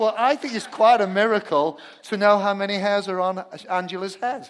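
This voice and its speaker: This man has a high voice and a British accent, talking at a fairly quick pace. His pitch varies in an ordinary way while his loudness swings widely. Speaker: pastor. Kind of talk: sermon. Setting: church. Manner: humorous.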